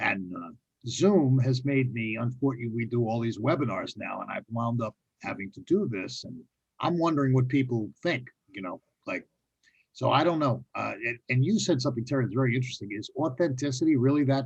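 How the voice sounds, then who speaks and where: A somewhat breathy man with a New York accent speaks fast-ish at a medium pitch, with ordinary pitch variation and big swings in loudness. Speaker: panel moderator. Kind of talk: panel discussion. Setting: video call.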